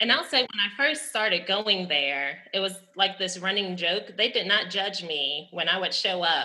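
A woman with an American accent and a normal speaking voice talks at a moderate pace and medium pitch, with ordinary pitch variation and hardly any pauses. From New Orleans, US South. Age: 30s. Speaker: chemistry lecturer. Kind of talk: panel conversation.

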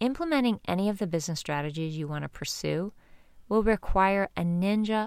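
A woman talks at a moderate pace with ordinary pitch variation. Hers is a plain, everyday voice. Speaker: mural artist and podcast host. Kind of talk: audiobook reading of her own book. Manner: calm, warm, measured reading pace.

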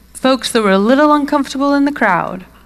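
Speaking with a British accent, a woman uses a high pitch and lively intonation. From UK England.

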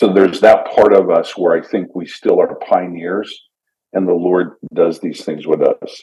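A man with a Canadian accent speaks at a fairly slow pace. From Canada. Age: 50s. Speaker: missionary and church pioneer. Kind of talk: casual interview chat.

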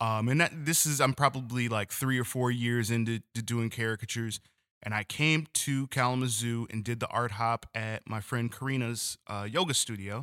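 Speaking with an American accent at a medium pitch and moderate pace, a man has a bright, sharp tone and fairly even intonation, in a very clean recording with a silent background and a dry, close sound with no echo. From Detroit, Michigan. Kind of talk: casual interview chat.

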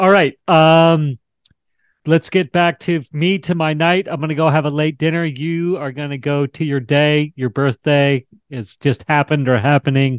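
A plain, everyday voice, this man speaks at a fairly slow pace and fairly high pitch with ordinary pitch variation, dry and close with no echo. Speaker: talk show host. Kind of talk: interview.

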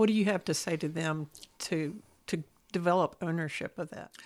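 With a West Texas accent, a woman talks in a fairly low voice with ordinary pitch variation, leaving long, frequent pauses. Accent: West Texas drawl. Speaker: podcast host. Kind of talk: interview.

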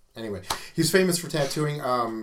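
A man speaks with an American accent. Room echo can be heard. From US Midwest, Omaha, Nebraska. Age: middle-aged. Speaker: tattoo artist and shop owner. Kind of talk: casual interview. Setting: small studio.

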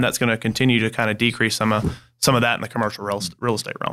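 Speaking very fast at a medium pitch, a man with a South Carolina accent has a bright, sharp tone on a very clean recording with a silent background. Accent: Southern US (South Carolina). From Greenville, South Carolina. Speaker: banker. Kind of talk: podcast interview. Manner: halting, repeats words.

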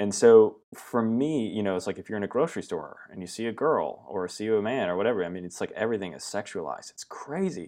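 A man with a Pacific Northwest accent talks at a very fast pace with hardly any pauses, his fairly low voice carrying lively intonation and big swings in loudness. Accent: American (Pacific Northwest). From US West, southern Oregon. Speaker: branding agency founder. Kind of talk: interview.

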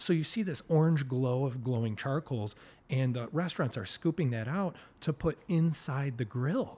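With an American accent, a man's fairly high, somewhat breathy voice with a dark, mellow tone moves at a moderate pace with lively intonation in a very clean recording against a silent background. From Plymouth, Michigan. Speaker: podcast host. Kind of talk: casual interview chat. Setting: studio.

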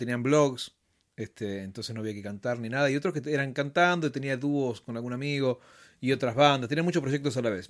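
A man with a Rioplatense accent talks fairly quickly at a medium pitch with ordinary pitch variation. The recording is very clean with a silent background. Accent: Argentine Rioplatense Spanish. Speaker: musician. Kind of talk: casual interview chat.

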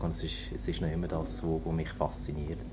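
A man speaks with a very deep, low pitch. The room echo is audible and background noise is noticeable. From northern Germany, near Hamburg. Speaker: naval engineer. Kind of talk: interview. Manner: halting, many fillers.

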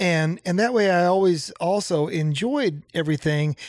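On a very clean recording with a silent background, a man speaks. His pitch is high, with ordinary variation. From Nebraska. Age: 50s. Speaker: songwriter and music producer. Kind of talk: casual chat. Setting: home basement studio.

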